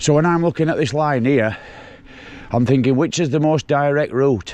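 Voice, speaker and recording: This speaker has a Yorkshire accent and a moderate pace. The loudness stays very even, with ordinary pitch variation. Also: man, fairly high pitch for a man. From Yorkshire, England. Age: 60s. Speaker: mountain bike vlogger. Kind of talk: casual vlog narration while riding. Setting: outdoors on a bike ride.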